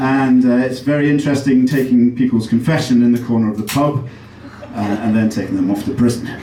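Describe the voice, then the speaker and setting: With an English accent, the speaker keeps a moderate pace and ordinary pitch variation amid noticeable background noise and audible room echo. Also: man. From England, Derby. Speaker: comedian. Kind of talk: stand-up. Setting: stage with audience. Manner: halting.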